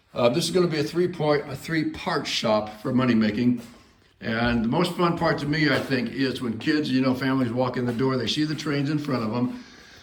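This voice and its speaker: Fairly quick speech with ordinary pitch variation, noticeable background noise and audible room echo. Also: man, medium pitch for a man. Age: 60s. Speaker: model railroad hobbyist and shop builder. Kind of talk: casual video walkthrough. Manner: casual, hesitant with fillers.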